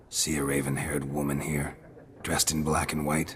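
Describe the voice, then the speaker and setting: A raspy, put-on character voice talks at a moderate pace. Background noise is clearly audible. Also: man, very deep, low pitch for a man. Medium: machinima. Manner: terse, low-key.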